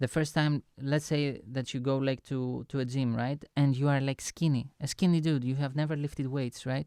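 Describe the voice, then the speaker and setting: A man's fairly high voice with a dark, mellow tone and a non-native accent, monotone and flat, at a moderate pace with hardly any pauses, on a very clean recording with a silent background. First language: not English. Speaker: online lecturer and music producer. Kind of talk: motivational lecture. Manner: halting, many fillers and restarts.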